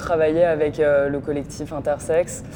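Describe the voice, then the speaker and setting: The speech moves at a very slow pace. Noticeable noise sits in the background. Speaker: actress. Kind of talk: casual interview.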